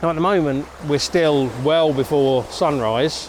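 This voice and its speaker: Over noticeable background noise, a man talks at a fairly slow pace with a fairly high pitch and fairly even intonation. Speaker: landscape photographer vlogger. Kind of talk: vlog tutorial. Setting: outdoors. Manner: soft-spoken.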